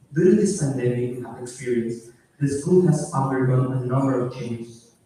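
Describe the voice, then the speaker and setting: Audible room echo accompanies a man speaking at a moderate pace. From Peru. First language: Spanish. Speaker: graduating student. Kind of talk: graduation speech.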